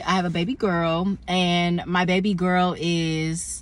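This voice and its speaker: A woman speaks with a fairly low pitch. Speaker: vlogger. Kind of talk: casual vlog.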